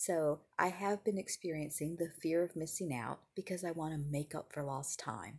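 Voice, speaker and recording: A soft-spoken woman talks at a moderate pace with hardly any pauses. Her pitch is very deep and low, with ordinary variation. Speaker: acupuncturist and wellness vlogger. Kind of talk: casual mindfulness talk. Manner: quiet, soft-spoken; mellow.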